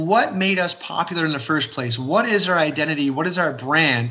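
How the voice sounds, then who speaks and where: A man with a high, bright, sharp voice speaks with an Ontario accent. His pitch varies in an ordinary way. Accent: Canadian (Ontario). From Fort Erie, Ontario, Canada. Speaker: realtor and community developer. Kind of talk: casual interview chat.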